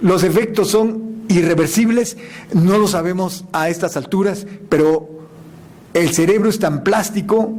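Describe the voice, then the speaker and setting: Audible room echo and noticeable background noise surround a man's voice. He talks at a fairly slow pace with ordinary pitch variation. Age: 60s. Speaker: scientist giving a lecture. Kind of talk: answering audience question; lecture.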